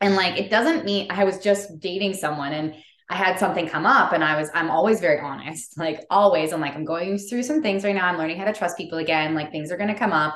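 A woman with a fairly low voice talks at a very fast pace, with hardly any pauses and ordinary pitch variation. Noticeable background noise sits behind her. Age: 30s. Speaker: podcast host. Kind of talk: casual chat.

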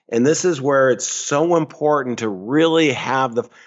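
A man talks at a fairly slow pace with ordinary pitch variation. He has an ordinary speaking voice. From upstate New York. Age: 60s. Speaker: financial advisor. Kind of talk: interview.

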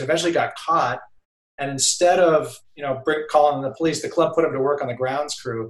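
An unremarkable speaking voice from a man with an American accent, fairly high in pitch, fairly quick, with fairly even intonation. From Boston area, Massachusetts. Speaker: golf journalist. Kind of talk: casual chat. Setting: video call.

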